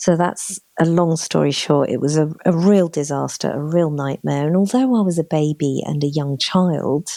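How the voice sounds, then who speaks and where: Woman's very deep, low voice with a dark, mellow tone, moderate pace, ordinary pitch variation and hardly any pauses. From Chile, raised in England from age six. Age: 40s. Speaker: spiritual consultant and mentor. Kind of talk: interview conversation.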